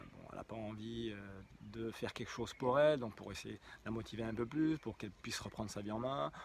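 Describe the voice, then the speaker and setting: Fairly quick speech from a man, medium in pitch with ordinary pitch variation. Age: 50s. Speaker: hypnotherapist. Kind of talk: promotional talk. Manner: halting, many fillers.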